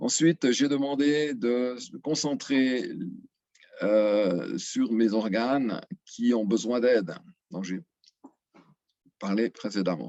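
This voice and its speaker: A man speaks at a medium pitch with ordinary pitch variation. His pace is very slow, with long, frequent pauses. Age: 60s. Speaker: retiree giving testimonial. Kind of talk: testimony. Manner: halting, many filler sounds.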